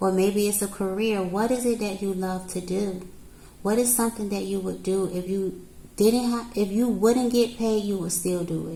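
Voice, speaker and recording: A woman speaks in a calm, dark, mellow tone at a medium pitch and a moderate pace, her intonation fairly even. Audible room echo fills the recording. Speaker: tarot reader. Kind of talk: tarot reading to camera. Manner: calm counselor-like.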